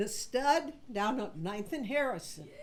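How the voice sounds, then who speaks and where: Her pitch sits high. The woman's voice swings very widely in pitch. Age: 70s. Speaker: stand-up comedian. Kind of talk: stand-up; casual chat.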